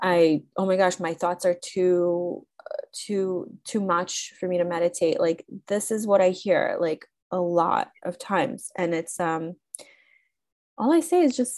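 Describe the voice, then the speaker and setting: In an ordinary speaking voice, a woman talks at a medium pitch with ordinary pitch variation and a fairly slow pace. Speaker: podcast host. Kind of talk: casual chat.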